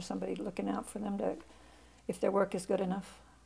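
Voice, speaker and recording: The woman talks very fast while noticeable noise sits in the background. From England, small town. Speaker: novelist. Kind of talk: interview.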